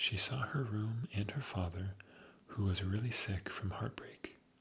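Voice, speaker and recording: Over noticeable background noise, a soft-spoken man with a fairly low pitch talks at a fairly slow pace with ordinary pitch variation. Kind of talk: sleep story.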